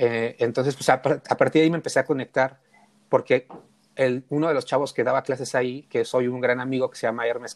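In an ordinary speaking voice, a man at medium pitch speaks at a fairly quick pace, the sound dry and close with no echo. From Mexico City (Tepito). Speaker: photographer. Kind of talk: casual chat.

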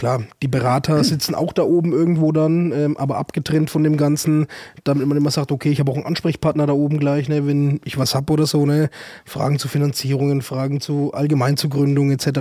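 Fairly quick pace, monotone, flat intonation and a dark, mellow tone. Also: man, fairly high pitch for a man. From Germany, Würzburg (Franconia). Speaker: startup advisor. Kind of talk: casual chat. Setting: studio.

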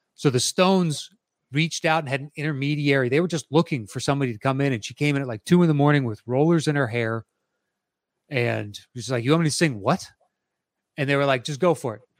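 In a very clean recording with a silent background and a dry, close sound with no echo, the speaker has an animated tone, a very fast pace and big swings in loudness. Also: man, fairly high pitch for a man, ordinary pitch variation. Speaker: podcast host. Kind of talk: casual banter podcast. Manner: animated, casual.

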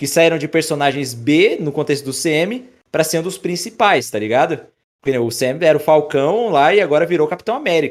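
A man speaks with lively intonation at a fairly quick pace. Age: 20s. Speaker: YouTube creator. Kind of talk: casual chat.

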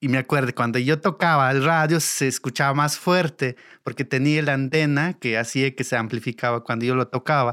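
A man talks at a fairly quick pace with hardly any pauses, medium pitch, fairly even intonation and very even loudness. His tone is bright and sharp, dry and close with no echo on a very clean recording with a silent background. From Mexico, Oaxaca Sierra Norte (Mixe community). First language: Mixe (speaking Spanish). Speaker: sound engineer. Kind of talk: interview storytelling.

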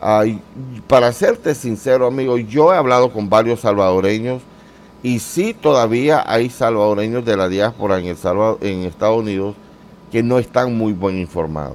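Here a man speaks in an unremarkable speaking voice. His pace is moderate and his pitch varies in an ordinary way. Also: medium pitch for a man. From Central America, mostly Honduras and Nicaragua. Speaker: YouTuber. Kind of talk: interview.

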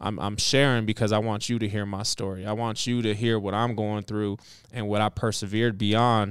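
A man with an American accent speaks in an ordinary speaking voice. His pitch is fairly low and his intonation fairly even. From US inner city. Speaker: podcast co-host and chef. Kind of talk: casual chat.

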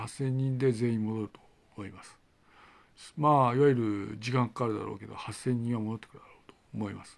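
A man at a medium pitch, talking at a fairly quick pace, with big swings in loudness. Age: 50s. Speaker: independent video blogger. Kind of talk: solo monologue. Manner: halting, many fillers.

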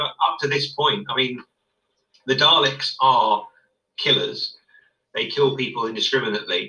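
A man with a British accent and long, frequent pauses. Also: moderate pace. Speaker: guest co-commentator. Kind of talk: casual chat.

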